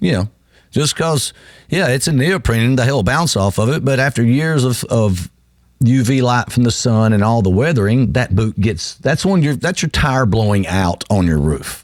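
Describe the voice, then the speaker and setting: A man's medium-pitched voice with lively intonation, at a moderate pace. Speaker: radio host and roofing company owner. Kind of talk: live radio talk. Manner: halting, unscripted.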